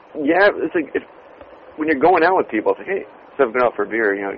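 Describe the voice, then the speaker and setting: A man with an American accent talks at a very fast pace. Noticeable background noise runs behind him. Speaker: podcast co-host. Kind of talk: casual chat. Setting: phone booth on a street in London. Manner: animated.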